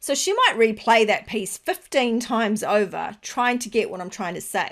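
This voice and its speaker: A woman with an Australian accent speaks at a moderate pace in a fairly high voice with lively intonation, on a very clean recording with a silent background. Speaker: business podcast host. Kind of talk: solo podcast monologue.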